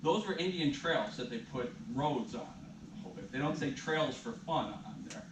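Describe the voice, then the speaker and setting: Lively intonation at a fairly slow pace, big swings in loudness, audible room echo and noticeable background noise. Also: man, fairly high pitch for a man. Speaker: event presenter, son of the featured local historian. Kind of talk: talk to a live audience. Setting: library room with live audience.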